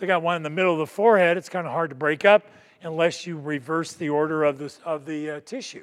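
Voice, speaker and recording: A man's high-pitched voice with an American accent. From Florida. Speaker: physician assistant and coding consultant. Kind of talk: lecture. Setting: conference stage with audience.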